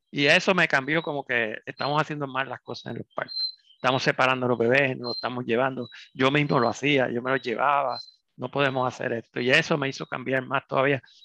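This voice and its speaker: An ordinary speaking voice from a man, medium-pitched, with fairly even intonation and a fairly quick pace. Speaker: pediatrician. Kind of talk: interview.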